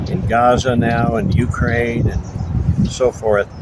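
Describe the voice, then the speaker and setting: There is noticeable background noise behind a man speaking with an American accent. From US Northeast (Buffalo, New York). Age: 70s. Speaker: interviewee. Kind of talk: casual interview. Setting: outdoors in front of a monastery.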